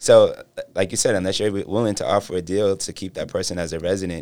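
A man speaks very fast with an American accent, his pitch very deep and low. His tone is dark and mellow, and his intonation stays fairly even. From Boston, Dorchester. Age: 40s. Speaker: nightlife event promoter and brand representative. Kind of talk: casual chat.

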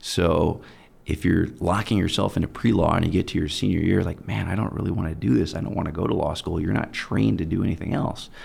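A man speaks at a very fast pace in a very deep, low pitch. His voice has vocal fry and lively intonation. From Germany, US military family. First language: German. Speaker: personal injury attorney. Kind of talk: interview.

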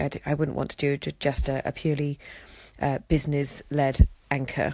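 A woman with a southern English accent speaks at a very deep, low pitch in a monotone, flat intonation against a quiet background. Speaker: interior designer and audio diary broadcaster. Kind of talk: casual audio diary monologue. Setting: outdoors walking and commuting. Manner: fast talker.

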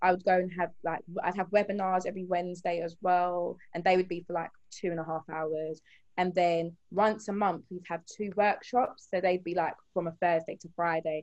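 In an English accent, a woman speaks with a fairly low pitch. Her delivery is monotone and flat, at a moderate pace. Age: 20s. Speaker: HR associate and beauty business owner. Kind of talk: casual interview.

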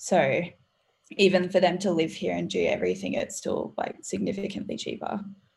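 A woman talks at a moderate pace. Her accent is Australian. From Australia, Gold Coast. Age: young. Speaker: university student and small business founder. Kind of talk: casual chat.

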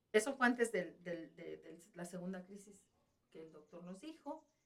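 Here is a normal speaking voice. It moves at a moderate pace. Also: woman. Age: 50s. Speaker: nurse. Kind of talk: testimony.

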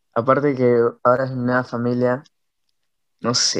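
Monotone and flat intonation marks this man's speech. His pitch is medium. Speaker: punk band guitarist. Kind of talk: casual interview.

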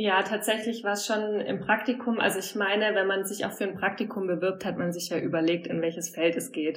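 Speaking at a fairly quick pace with hardly any pauses, a woman keeps a medium pitch and fairly even intonation. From southern Germany. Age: 30s. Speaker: brand manager. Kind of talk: interview.

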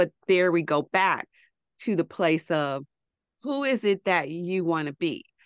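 With a plain, everyday voice, a woman speaks at a fairly low pitch and a fairly slow pace, her intonation lively over a quiet background. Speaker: fashion stylist and coach. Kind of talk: casual interview chat.

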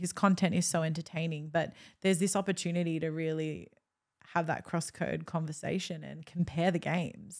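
A woman speaks at a fairly quick pace with an Australian accent and a fairly low pitch. The recording is very clean, with a silent background. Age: 20s. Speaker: sports presenter and podcaster. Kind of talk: casual chat.

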